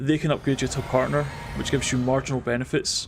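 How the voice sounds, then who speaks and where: Very fast, monotone, flat delivery from a man at medium pitch, with noticeable background noise. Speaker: vtuber streamer. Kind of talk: casual live stream chat while gaming. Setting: live stream.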